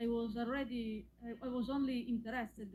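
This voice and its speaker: Somewhat breathy, a woman's voice keeps a fairly even intonation. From Italy. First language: Italian. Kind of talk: call-in conversation. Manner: halting.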